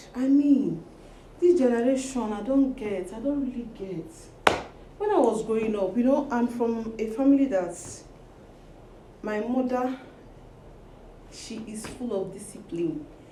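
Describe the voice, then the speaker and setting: Long, frequent pauses break up fairly slow speech that swings a lot in loudness, with audible room echo and noticeable background noise. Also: woman, fairly high pitch for a woman, ordinary pitch variation. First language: not English. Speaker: social media personality. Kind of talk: casual vlog monologue. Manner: animated.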